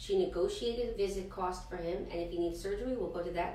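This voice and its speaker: A woman at a very fast pace, with light background noise and audible room echo. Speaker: health clinic show co-host. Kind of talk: interview. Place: office. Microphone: camera far.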